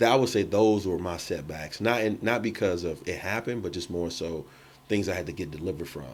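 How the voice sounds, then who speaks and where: Very fast in pace, a man speaks with a very deep, low pitch and ordinary pitch variation. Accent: American. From Chicago, US Midwest. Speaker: entrepreneur, mortgage lender and photographer. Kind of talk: podcast interview. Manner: casual, with many fillers.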